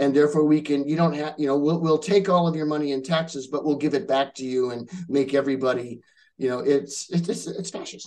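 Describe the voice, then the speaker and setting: With a West Coast US accent, a man speaks at a fairly quick pace in a fairly high pitch with ordinary pitch variation. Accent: General American, West Coast. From Southern California. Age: 50s. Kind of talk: interview answer.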